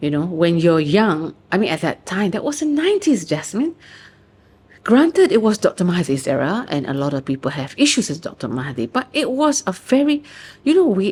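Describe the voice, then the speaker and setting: Animated and passionate, the somewhat breathy voice moves at a moderate pace with very wide pitch swings and a Malaysian accent. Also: woman. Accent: Malaysian English with local particles. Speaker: author and researcher. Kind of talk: interview answer. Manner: chatty, animated, passionate.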